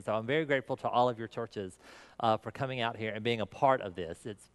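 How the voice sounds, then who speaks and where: A man with a slight Southern US accent talks at a very fast pace, recorded with a dry, close sound, no echo and a quiet background. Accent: slight southern US twang. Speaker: pastor. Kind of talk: conference talk.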